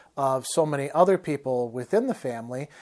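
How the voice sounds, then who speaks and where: A moderate pace over a quiet background. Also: man. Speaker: storyteller. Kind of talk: personal storytelling monologue. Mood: warm, reflective. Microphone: lapel.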